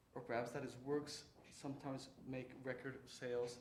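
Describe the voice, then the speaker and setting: A man of medium pitch speaks with audible room echo. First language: Spanish. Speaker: writer and lecturer. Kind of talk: lecture. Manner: halting.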